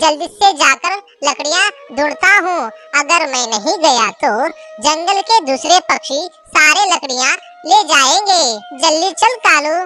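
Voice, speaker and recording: The speaker uses a cartoonish character voice at a fairly slow pace. Faint music plays in the background. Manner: rough, pushy.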